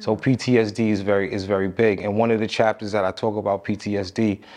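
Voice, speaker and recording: A man with a New York accent speaks with a fairly low pitch at a moderate pace. His intonation is monotone and flat over a quiet background. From Long Island, New York (Amityville). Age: 40s. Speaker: personal fitness trainer. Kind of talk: interview, casual conversation.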